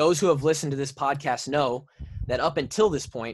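A man speaks at a fairly high pitch with ordinary pitch variation. The background is quiet. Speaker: podcast co-host, former college football player. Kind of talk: casual chat. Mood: serious, measured. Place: home room. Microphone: studio mic.

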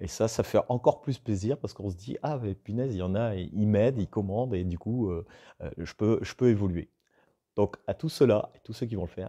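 A man speaks in a fairly low pitch with a dark, mellow tone. The background is quiet. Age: 40s. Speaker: woodworking YouTuber. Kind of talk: casual vlog talking to viewers. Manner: hesitant, many fillers and repetitions. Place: workshop.

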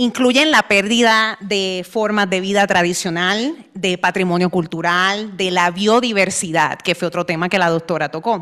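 With a normal speaking voice of medium pitch, a woman speaks fairly slowly, with hardly any pauses and ordinary pitch variation. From Puerto Rico. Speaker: immunologist, science policy fellow. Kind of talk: conference presentation. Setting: stage with audience.

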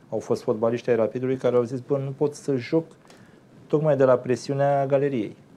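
Medium in pitch and dark, mellow in tone, a man moves at a fairly quick pace with monotone, flat intonation. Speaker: sports media commentator. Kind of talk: casual chat. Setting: studio. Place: studio. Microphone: lapel.

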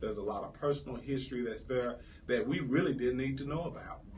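A man talks over light background noise. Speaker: candidate. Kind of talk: interview answer. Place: studio.

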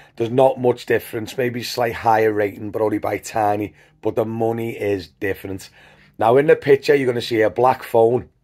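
A man at a fairly quick pace, intonation fairly even, against a quiet background. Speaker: rideshare driver vlogger. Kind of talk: casual vlog chat. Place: home room. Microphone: phone near.

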